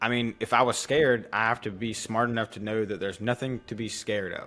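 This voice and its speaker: At a fairly quick pace, a man speaks with a Southern US accent. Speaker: channel host, trivia contestant. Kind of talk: casual chat, game show quiz. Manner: halting with repetitions.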